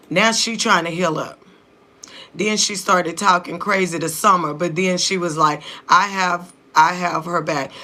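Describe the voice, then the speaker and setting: A woman's fairly low-pitched voice with fairly even intonation at a moderate pace, amid noticeable background noise. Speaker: reality TV reaction youtuber. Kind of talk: casual reaction commentary.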